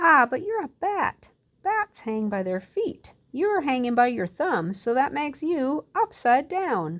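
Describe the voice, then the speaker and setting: A loud, high put-on character voice from a woman, with very wide pitch swings at a fairly slow pace. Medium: read story. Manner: blunt, matter-of-fact.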